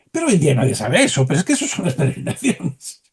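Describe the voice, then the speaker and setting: The man's tone is animated. Very wide swings run through his pitch. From Galicia, Spain (Santiago de Compostela). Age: 70s. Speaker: historian. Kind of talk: interview.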